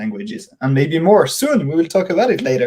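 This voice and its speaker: A man with a French accent speaks in a dark, mellow tone that is somewhat breathy. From France, Dijon. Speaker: circus company business developer. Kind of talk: interview. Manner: hesitant, many fillers and repeats.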